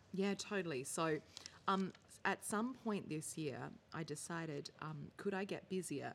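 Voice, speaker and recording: A woman talks at a fairly slow pace in a fairly low pitch. She has an Australian accent. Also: ordinary pitch variation. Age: 30s. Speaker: social entrepreneur. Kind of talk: casual chat.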